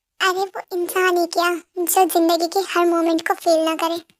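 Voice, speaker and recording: A woman puts on a squeaky character voice at an extremely high pitch. Her intonation is monotone and flat, and her pace is moderate. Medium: audio drama. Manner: teasing, confident; dramatic.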